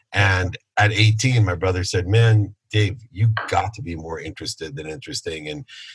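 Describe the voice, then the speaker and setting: Somewhat breathy, a man speaks at a moderate pace with ordinary pitch variation over a quiet background. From Ohio, US Midwest. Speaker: entrepreneur and speaker. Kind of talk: interview.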